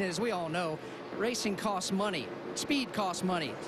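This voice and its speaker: A man's lively intonation over noticeable background noise. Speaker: pit reporter. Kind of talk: live broadcast garage reporting.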